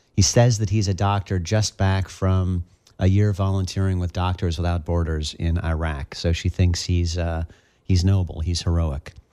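Deep and very low, a man's voice with a dark, mellow tone moves at a moderate pace with fairly even intonation on a very clean recording with a silent background. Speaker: reporter and author. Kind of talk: interview, storytelling. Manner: halting, filler words.

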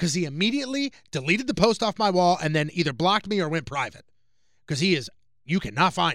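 A loud man with an American accent talks at a fairly quick pace, high in pitch with very wide pitch swings. The recording is very clean, with a silent background. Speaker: radio host. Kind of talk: casual chat.

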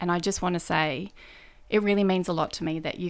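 With an Australian accent, a woman speaks at a fairly quick pace in a fairly low voice, her intonation lively. The recording is very clean, with a silent background. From northern New South Wales, Australia. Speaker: state politician. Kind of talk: interview.

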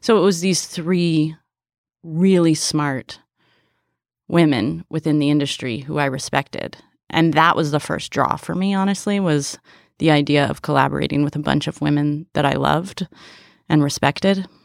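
A woman's very deep, low voice at a moderate pace, with ordinary pitch variation, dry and close with no echo, on a very clean recording with a silent background. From San Francisco Bay Area. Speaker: film director. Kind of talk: interview. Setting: studio.

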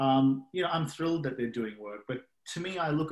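This man has an Australian accent and ordinary pitch variation. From Australia (Sydney). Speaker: biotech investor. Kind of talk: casual interview. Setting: video call.

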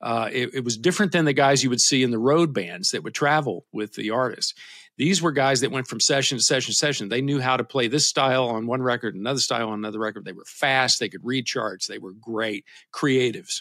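A man with a Kentucky accent at a very fast pace, bright and sharp in tone, medium in pitch with ordinary pitch variation and big swings in loudness, on a very clean recording with a silent background. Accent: Southern US (Kentucky). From US South, south central Kentucky. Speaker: guitarist and band leader. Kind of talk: casual interview.

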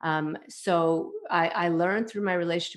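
A woman with a Canadian accent speaks in an unremarkable speaking voice. Her pitch is fairly low and her intonation fairly even. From Canada, Toronto. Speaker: parenting coach. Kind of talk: interview.

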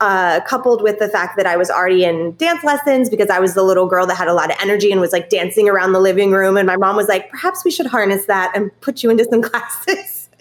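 A woman with an American accent speaks at a very fast pace, with hardly any pauses, over noticeable background noise. Her medium pitch has ordinary variation and her loudness stays very even. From California. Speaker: Broadway performer and producer. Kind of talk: interview.

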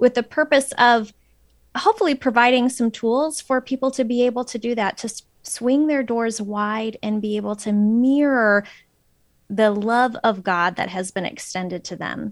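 At a moderate pace, a woman with an American accent speaks in a normal speaking voice, fairly high-pitched with ordinary pitch variation. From Phoenix, Arizona. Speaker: author. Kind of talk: interview.

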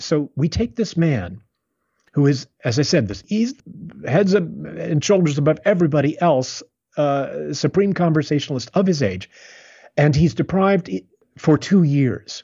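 Somewhat breathy, this voice moves at a moderate pace. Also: man, fairly high pitch for a man, lively intonation. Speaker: playwright. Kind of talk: interview conversation about literature.

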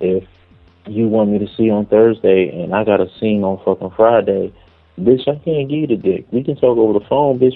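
A man's ordinary speaking voice, fairly low in pitch, with ordinary pitch variation. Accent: American. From Philadelphia. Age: 30s. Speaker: adult film performer. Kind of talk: casual interview.

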